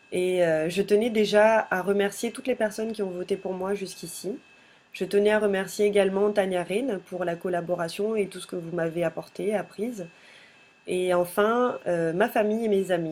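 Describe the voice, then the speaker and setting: A woman with a medium-pitched voice talks at a moderate pace with fairly even intonation. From Madagascar (Toamasina). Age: 20s. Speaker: pageant candidate, business student. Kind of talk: candidate self-presentation video. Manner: hesitant, frequent filler sounds.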